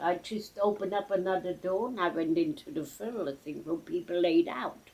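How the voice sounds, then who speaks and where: Noticeable background noise surrounds a woman whose voice sits at a medium pitch. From Germany. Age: 80s+. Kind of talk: interview answer. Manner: reminiscing.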